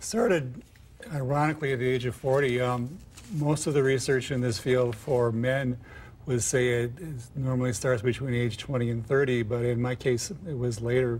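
This man's voice is somewhat breathy, with fairly even intonation. He speaks at a moderate pace. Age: 50s. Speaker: author; interview guest. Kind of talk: TV interview. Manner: halting. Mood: calm, reflective. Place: studio. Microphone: lapel.

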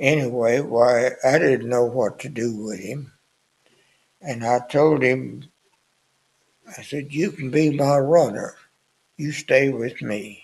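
Speaking very slowly with a Southern US accent, a man shows ordinary pitch variation, big swings in loudness and long, frequent pauses. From US South. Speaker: war veteran. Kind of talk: elder life story, plainspoken wartime reminiscence. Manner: rambling, folksy storytelling with filler words like anyway, why; chuckles often, understated about danger. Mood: somber reminiscence. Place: studio. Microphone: studio mic.

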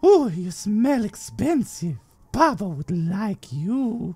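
Someone does a put-on character voice with cackling, speaking very slowly at a middle pitch. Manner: manic, gleeful.

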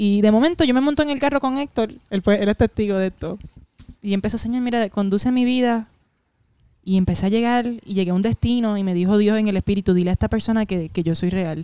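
At a very fast pace, a woman speaks with a medium pitch, ordinary pitch variation and a dark, mellow tone, in a dry sound with no echo. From Puerto Rico. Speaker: comedian. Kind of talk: casual chat. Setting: at her home. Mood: emotional personal faith testimony. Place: studio. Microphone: handheld.

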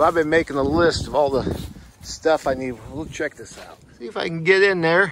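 A man's moderately paced words come through a dry sound with no echo, while noticeable background noise lingers. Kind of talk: casual vlog chat. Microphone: phone near.

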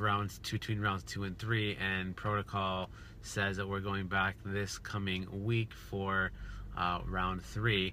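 Light background noise sits under a dry sound with no echo. A man with a fairly low, bright, sharp voice speaks at a very slow pace. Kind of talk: casual vlog chat. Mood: upbeat, joking. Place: car.

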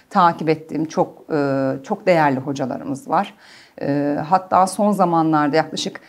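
Lively intonation at a moderate pace. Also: woman. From Germany. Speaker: clinical psychologist; guest. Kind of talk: interview. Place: studio. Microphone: lapel.

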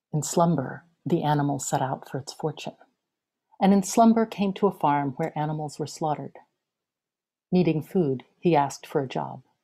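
A woman with a very deep, low pitch and a dark, mellow tone speaks at a moderate pace with long, frequent pauses against a quiet background. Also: ordinary pitch variation. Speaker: poet. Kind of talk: poetry reading. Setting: video call. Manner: measured, lyrical, incantatory. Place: home room. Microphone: webcam.

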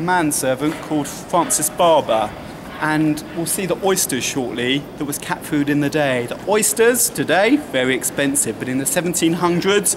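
Moderate pace over noticeable background noise. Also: man. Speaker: tour guide. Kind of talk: guided tour commentary. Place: street. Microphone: camera far.

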